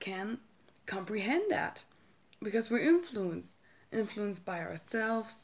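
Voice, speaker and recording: At a fairly slow pace with long, frequent pauses, a woman with a German accent speaks at a medium pitch with lively intonation. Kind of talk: casual talk to camera.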